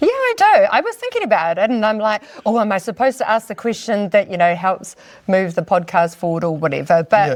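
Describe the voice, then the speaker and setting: A woman talks at a very fast pace with medium pitch and ordinary pitch variation. Background noise is noticeable. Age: 50s. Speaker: business owner and hair loss specialist. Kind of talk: casual interview chat. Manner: animated.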